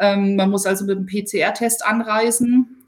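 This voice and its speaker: The voice is somewhat breathy and calm in tone, moving at a fairly slow pace with fairly even intonation. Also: woman. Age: 40s. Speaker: sports reporter. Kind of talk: interview. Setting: remote call.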